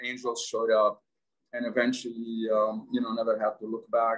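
A man's medium-pitched, monotone, flat delivery with an Arabic accent, at a moderate pace against a quiet background. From Lebanon. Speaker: entrepreneur; interview guest. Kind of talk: casual interview. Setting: video call. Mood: warm, reflective. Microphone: video call.

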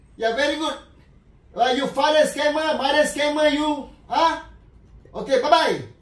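Speech at a moderate pace with long, frequent pauses, set in audible room echo. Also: man, high pitch for a man. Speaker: scam call recipient. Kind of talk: mocking phone call with a scammer. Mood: mocking, playful. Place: home room. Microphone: camera far.

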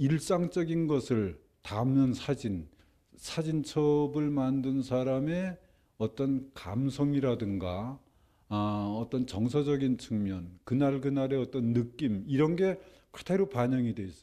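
A man with a dark, mellow tone and medium pitch speaks at a very slow pace with lively intonation against a quiet background. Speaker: retired professor, son of the subject; retired professor. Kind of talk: interview soundbite. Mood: warm, reflective. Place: hall. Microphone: handheld.

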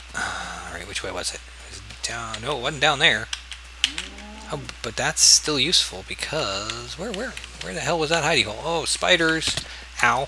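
Over noticeable background noise, a man talks at a moderate pace with big swings in loudness and long, frequent pauses. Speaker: gaming video creator. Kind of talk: let's play commentary. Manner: casual, hesitant with fillers.

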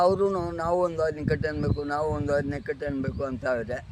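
A man speaks with ordinary pitch variation, and noticeable background noise runs underneath. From India, Kolar district, Karnataka. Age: 70s. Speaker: farmer. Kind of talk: interview.

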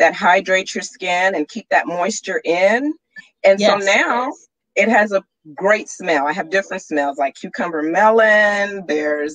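A medium-pitched woman speaks with lively intonation in a dry, close sound with no echo. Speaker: radio show guest, entrepreneur. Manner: casual, conversational.

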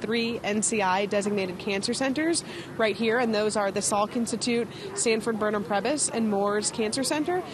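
The voice moves at a moderate pace with ordinary pitch variation and very even loudness. The sound is dry with no echo, over noticeable background noise. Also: woman. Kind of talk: interview answer. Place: street. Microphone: handheld.

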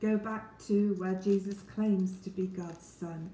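A woman's very slow speech with a warm tone, audible room echo, and light background noise. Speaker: Bible teacher. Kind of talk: Bible reading and teaching talk. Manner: warm, friendly. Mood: calm, earnest. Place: kitchen. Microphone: phone near.

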